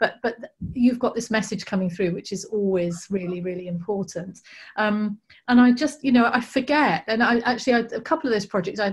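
A woman's fairly high, somewhat breathy voice with ordinary pitch variation, at a fairly quick pace over a quiet background. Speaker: garden event organiser and host; host. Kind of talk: casual chat. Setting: video call. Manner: enthusiastic, repeats words often. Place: home room. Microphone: video call.

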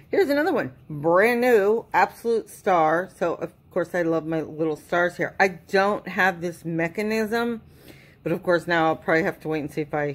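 With ordinary pitch variation, the delivery keeps to a moderate pace. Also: woman, fairly low pitch for a woman. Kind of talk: casual haul unboxing chat. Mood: enthusiastic, pleased.

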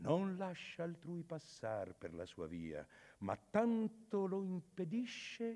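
Using a put-on character voice, a man sounds hoarse. He speaks at a very slow pace. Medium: audio drama. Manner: calm, authoritative, reassuring.

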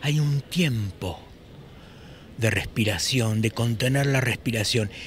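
A man speaks at a fairly slow pace. The sound is dry with no echo, over light background noise. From Buenos Aires, Argentina. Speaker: poet, musician and screenwriter. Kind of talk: interview answer. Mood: thoughtful, emotional recollection. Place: street. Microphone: handheld.

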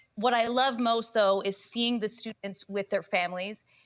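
A woman's fairly high, animated voice with ordinary pitch variation at a fairly slow pace. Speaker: teachers' union president. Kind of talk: formal speech at a board meeting. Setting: board meeting room, streamed.

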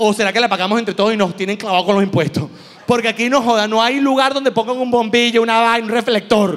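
The man talks at a very fast pace. His high pitch has ordinary variation. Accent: Venezuelan. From Venezuela. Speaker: comedian. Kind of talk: stand-up. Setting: stage with audience. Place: stage. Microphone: handheld.

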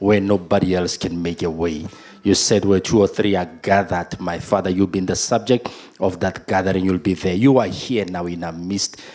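A man's very deep, low voice at a moderate pace with fairly even intonation. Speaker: pastor. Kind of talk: opening prayer and sermon. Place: church. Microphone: handheld.

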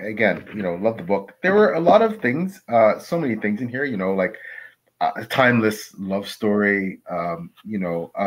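Over a quiet background, a man talks at a moderate pace in a fairly low pitch with lively intonation. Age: 50s. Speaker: author and podcast co-host; podcast co-host. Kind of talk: casual interview. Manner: halting. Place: home room. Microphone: video call.

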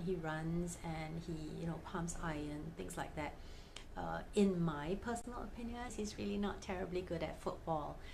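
The woman's voice sits at a fairly low pitch. Light background noise can be heard. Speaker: fan vlogger. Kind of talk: casual vlog chat. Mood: cheerful storytelling. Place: home room.

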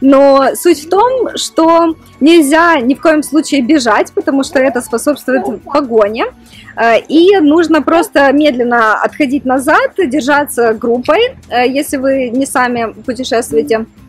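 At a very slow pace, a woman speaks in a high pitch, the sound dry with no echo and faint music in the background. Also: ordinary pitch variation, very even loudness. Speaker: vlogger. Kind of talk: casual vlog chat. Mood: cheerful, slightly nervous. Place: forest. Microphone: phone near.

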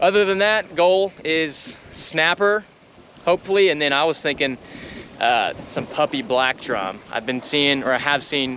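Lively intonation carries a man's speech at a moderate pace. The sound is dry with no echo, over light background noise. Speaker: spearfishing vlogger. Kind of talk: casual vlog chat. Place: boat. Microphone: phone near.

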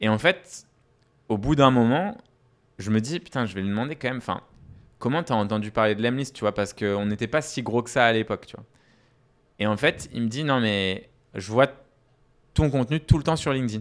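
The speech moves at a fairly quick pace with long, frequent pauses and ordinary pitch variation. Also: man, medium pitch for a man. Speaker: startup CEO. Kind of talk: casual interview chat. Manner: animated.

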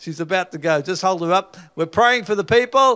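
Over a quiet background, a man uses a raised, projected voice with a bright, sharp tone and lively intonation. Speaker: preacher leading mass healing prayer. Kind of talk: charismatic healing prayer, calling out ailments and rebuking them. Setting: live gathering with people on stage. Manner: fervent and commanding, with stumbles and filler sounds. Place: studio. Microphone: handheld.

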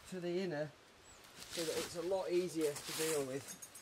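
A man's high-pitched voice at a fairly slow pace over light background noise. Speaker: outdoor camping vlogger. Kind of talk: casual vlog chat. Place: forest.

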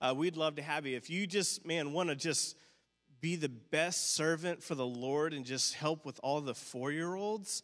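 A man talks at a moderate speed with fairly even intonation, and the background is quiet. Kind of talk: church announcements. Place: church. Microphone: handheld.

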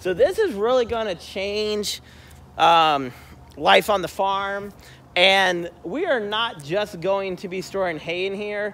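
A man speaks at a very slow pace with a bright, sharp tone. His pitch is high, with ordinary variation. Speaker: homesteader vlogger. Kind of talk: casual vlog chat. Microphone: phone near.

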